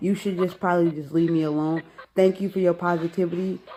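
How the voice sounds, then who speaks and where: A woman with a plain, everyday voice speaks at a fairly quick pace, her fairly low pitch held in fairly even intonation. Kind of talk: casual phone conversation.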